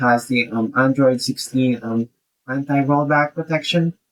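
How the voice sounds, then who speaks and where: With a non-native accent, a man speaks at a fairly slow pace and fairly even intonation. The sound is dry and close, without echo. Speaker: tech YouTuber. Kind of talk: tutorial. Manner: halting, many fillers.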